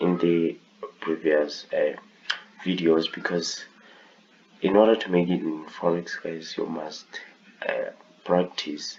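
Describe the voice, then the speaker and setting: Over clear background noise, a man talks very slowly, stopping often and for long stretches. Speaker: forex trading tutor. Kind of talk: tutorial. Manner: halting.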